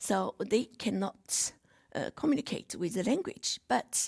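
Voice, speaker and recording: On a very clean recording with a silent background, a woman at medium pitch speaks at a very slow pace with vocal fry, the sound dry and close with no echo. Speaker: seminar speaker. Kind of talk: presentation. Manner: halting.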